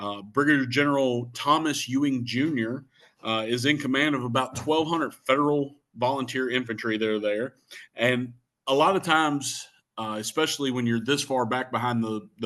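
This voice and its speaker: A man speaks at a medium pitch and moderate pace, with ordinary pitch variation and a quiet background. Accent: Shenandoah Valley. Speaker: Civil War historian. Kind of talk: history talk. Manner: many fillers (uh, um).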